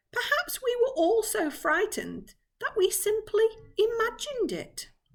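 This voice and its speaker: A woman puts on a character voice at an extremely high pitch. It sounds squeaky. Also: moderate pace. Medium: read story.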